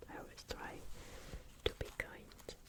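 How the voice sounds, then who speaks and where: A woman whispers at a fairly slow pace with noticeable background noise behind her. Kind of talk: ASMR whispered reading. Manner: whispered, soft-spoken.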